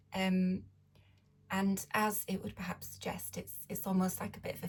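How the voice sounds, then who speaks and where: At a moderate pace, a woman talks in a very deep, low pitch with vocal fry. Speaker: tarot reader. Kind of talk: tarot reading to camera. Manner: hesitant, many fillers.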